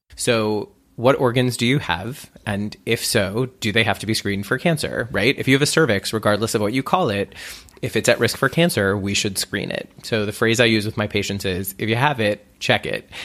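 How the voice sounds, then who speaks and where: At a moderate pace and medium pitch, a man speaks in an unremarkable speaking voice with ordinary pitch variation. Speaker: internist and clinic director. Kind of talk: expert interview clips.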